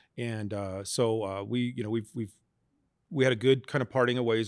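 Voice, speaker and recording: In a very clean recording with a silent background, a man with a normal speaking voice talks at a fairly low pitch and a moderate pace. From Las Vegas, Nevada. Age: 50s. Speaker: business owner and accountant. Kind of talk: interview.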